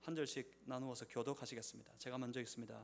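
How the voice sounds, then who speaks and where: A man of medium pitch speaks with vocal fry. His pitch variation is ordinary. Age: 50s. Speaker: pastor. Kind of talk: sermon. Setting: church.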